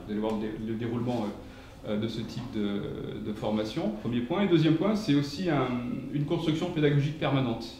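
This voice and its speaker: A man at a medium pitch and fairly quick pace, with audible room echo and noticeable background noise. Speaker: professor. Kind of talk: lecture. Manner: fast; hesitant, many fillers.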